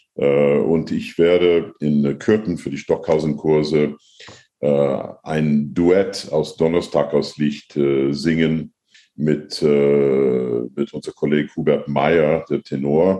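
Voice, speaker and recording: A man's very deep, low voice, dark and mellow in tone, at a very slow pace. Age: 60s. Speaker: opera and new music singer, professor. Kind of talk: interview. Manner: halting.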